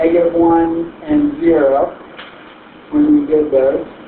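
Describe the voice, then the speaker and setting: A man talks at a fairly slow pace. Noticeable background noise and audible room echo come through. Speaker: math teacher. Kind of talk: classroom lecture. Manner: loud.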